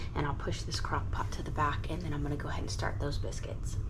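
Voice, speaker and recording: A woman is whispering. Noticeable background noise and audible room echo surround her. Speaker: gardening vlogger. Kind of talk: casual vlog narration. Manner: hesitant, many fillers.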